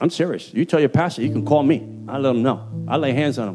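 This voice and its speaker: With music in the background, a man speaks very fast in a Puerto Rican accent, at medium pitch with ordinary pitch variation. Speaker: preacher. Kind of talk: informal street slang mixed with sermon language. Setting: church sermon. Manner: fiery, energetic preaching.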